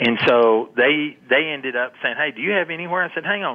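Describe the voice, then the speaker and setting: A man with a West Texas accent, lively intonation and a fairly quick pace. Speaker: long range shooting instructor. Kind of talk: interview.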